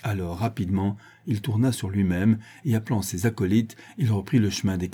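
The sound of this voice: This is an unforced reading voice. The speaker simply reads aloud.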